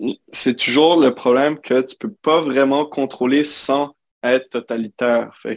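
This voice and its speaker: In a Quebec accent, a man talks at medium pitch with fairly even intonation and a fairly slow pace. The sound is dry and close, without echo. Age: 20s. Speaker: recent computer science graduate. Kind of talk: interview conversation. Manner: halting.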